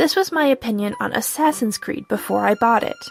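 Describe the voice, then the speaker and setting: There is music in the background while a woman talks. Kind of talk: casual vlog talk.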